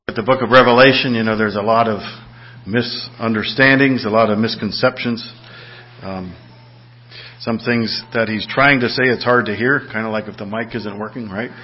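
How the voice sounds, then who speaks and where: A man at a medium pitch and moderate pace, flat and monotone, with long, frequent pauses and noticeable background noise. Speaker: church pastor leading service, announcements. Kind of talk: church announcements and prayer. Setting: church.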